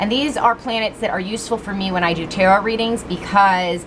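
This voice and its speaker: A woman at medium pitch with ordinary pitch variation over noticeable background noise. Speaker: tarot reader. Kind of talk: tarot reading. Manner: loud.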